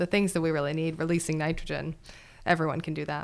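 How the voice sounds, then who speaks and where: A woman speaks at a very fast pace with an American accent on a very clean recording with a silent background. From Wisconsin. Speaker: soil scientist, university faculty. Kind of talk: casual interview.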